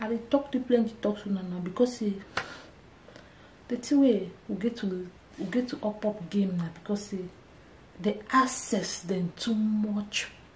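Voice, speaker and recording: A woman with a fairly high voice and ordinary pitch variation speaks at a fairly slow pace, leaving long, frequent pauses, amid noticeable background noise. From Cameroon. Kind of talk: casual talk to camera.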